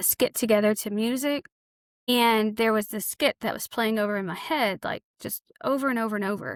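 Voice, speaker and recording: On a very clean recording with a silent background and a dry, close sound with no echo, a woman speaks with fairly even intonation in a Southern US accent. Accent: Southern drawl. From Arkansas. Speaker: author and counselor. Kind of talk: podcast interview. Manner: casual.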